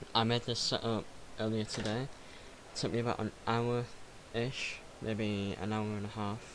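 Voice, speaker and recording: A man speaks with a fairly low pitch. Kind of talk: casual gaming tutorial talk. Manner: hesitant, stuttering.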